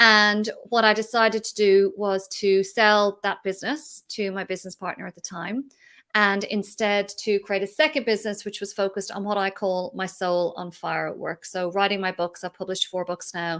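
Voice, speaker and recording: A woman with an Irish accent speaks at medium pitch and a moderate pace with fairly even intonation on a very clean recording with a silent background. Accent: Irish, hasn't picked up Australian. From Ireland. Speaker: entrepreneur and business mentor. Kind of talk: interview.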